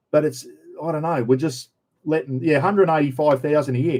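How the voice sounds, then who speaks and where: A man with an Australian accent and a dark, mellow tone. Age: 60s. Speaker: livestream host. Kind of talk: casual livestream chat.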